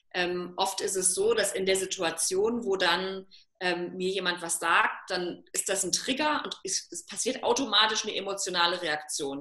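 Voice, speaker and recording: A woman at a medium pitch and fairly slow pace, lively intonation, with noticeable background noise. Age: 30s. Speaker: self-love coach. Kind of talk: casual interview.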